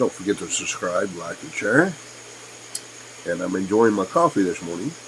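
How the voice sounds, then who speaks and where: With an American accent, a man talks at a moderate pace, his loudness swinging widely over noticeable background noise. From Kentucky. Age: 60s. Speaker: YouTuber. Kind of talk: casual vlog monologue. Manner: hesitant, with many fillers.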